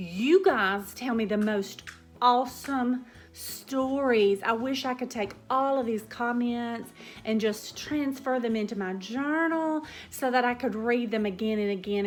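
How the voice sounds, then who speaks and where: Speaking with a Southern US accent, a woman uses a fairly high pitch with ordinary variation at a fairly slow pace. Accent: Southern drawl. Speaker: cooking vlogger. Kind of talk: casual chat. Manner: hesitant, with fillers.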